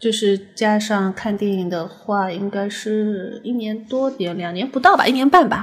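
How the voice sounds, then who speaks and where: Spoken with a slight Shanghai accent, the delivery moves at a fairly slow pace with ordinary pitch variation and hardly any pauses. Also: woman, fairly high pitch for a woman. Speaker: designer and guest. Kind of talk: casual chat.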